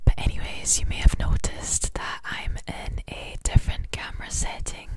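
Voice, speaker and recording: A woman whispers at a moderate pace, with big swings in loudness. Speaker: ASMR creator. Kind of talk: ASMR whisper ramble. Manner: whispered, casual, chatty. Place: home room. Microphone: studio mic.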